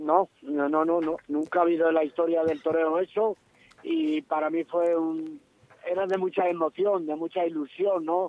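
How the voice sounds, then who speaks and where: This man's voice is high-pitched and flat, with monotone intonation. He speaks at a fairly slow pace. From Salamanca, Spain. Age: 70s. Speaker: retired matador and cattle rancher. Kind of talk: phone interview.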